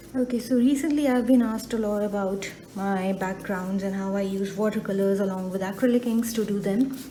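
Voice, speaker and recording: A woman's fairly evenly intoned speech with hardly any pauses, amid noticeable background noise and audible room echo. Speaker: watercolor artist. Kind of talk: tutorial. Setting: voiceover. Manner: casual.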